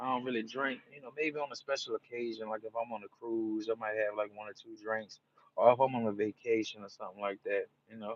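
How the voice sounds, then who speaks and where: Speaking with a New Orleans accent, a man keeps a relaxed tone at a fairly quick pace. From New Orleans, Louisiana (US South). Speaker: live streamer. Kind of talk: casual live-stream chat. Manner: relaxed, repetitive.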